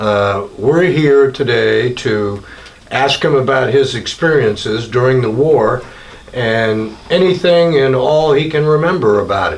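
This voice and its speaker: The delivery is fairly slow and carries ordinary pitch variation, with noticeable background noise behind it. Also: man, medium pitch for a man. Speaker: veteran interviewer. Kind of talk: interview questions.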